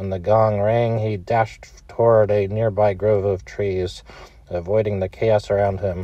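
A man speaks at a moderate pace in a fairly low, somewhat breathy voice. His intonation is monotone and flat, and the sound is dry with no echo. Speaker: storyteller. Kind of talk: storytelling narration. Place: car. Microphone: phone near.

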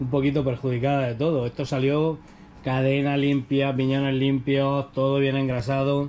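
The voice has a dark, mellow tone and a fairly slow pace. Light background noise sits behind it. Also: man. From Spain. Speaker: YouTuber doing e-bike tutorials. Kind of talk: tutorial. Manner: animated. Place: workshop. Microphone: lapel.

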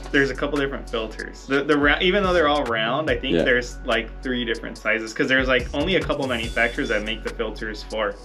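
A man talking at a very fast pace over faint background music. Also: hardly any pauses. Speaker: motorcycle parts brand vlogger. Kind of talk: casual vlog chat. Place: office. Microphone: phone near.

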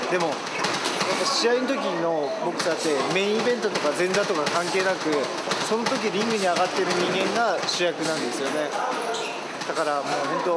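A man talks at a moderate pace, pausing long and often, with loud background noise behind him. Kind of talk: interview answer. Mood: reflective, warm. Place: gym.

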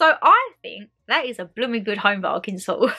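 Her voice is raised and projected. The woman's tone comes across bright and sharp. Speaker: YouTuber. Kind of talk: haul video chat. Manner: chatty, rambling.

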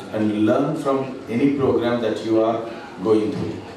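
A man at a moderate pace with ordinary pitch variation, light background noise and strong room echo. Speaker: presenter. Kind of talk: business presentation. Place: hall.

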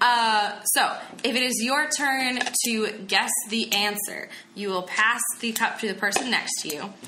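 A woman's fairly high voice in an American accent, fairly slow, with ordinary pitch variation, amid audible room echo and noticeable background noise. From New Jersey, Burlington County. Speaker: podcast co-host and game master. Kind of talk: explaining game rules.

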